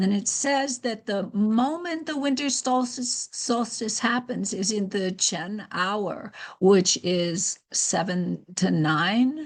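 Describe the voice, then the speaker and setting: A woman talks at a very slow pace over a quiet background, her medium-pitched voice somewhat breathy. Her intonation is lively. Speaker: teacher of Chinese calendar. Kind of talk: tutorial.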